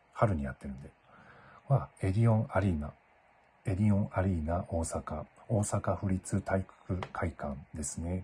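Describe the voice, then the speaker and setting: The voice is dark and mellow, somewhat breathy, and moves at a moderate pace. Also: man, very deep, low pitch for a man, ordinary pitch variation. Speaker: Japanese language teacher. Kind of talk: casual talk to camera. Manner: clear.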